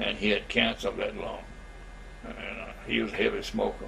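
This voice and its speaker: A man speaks with a Southern US accent at a moderate pace. Noticeable background noise runs under his voice. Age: 80s+. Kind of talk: interview answer.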